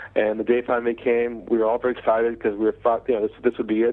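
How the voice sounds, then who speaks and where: The man's voice sits at a medium pitch. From United States. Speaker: sales trainer. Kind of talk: interview storytelling. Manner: halting, many fillers.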